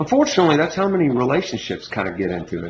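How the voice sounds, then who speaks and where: A man is speaking. He has an American accent. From Kentucky, Louisville. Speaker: entrepreneur making a dating video. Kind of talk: casual monologue to camera. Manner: halting, many repetitions.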